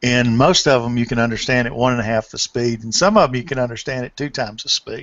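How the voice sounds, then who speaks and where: Speaking fairly quickly, a man uses a normal speaking voice at a medium pitch. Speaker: podcast host. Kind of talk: casual chat. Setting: video call.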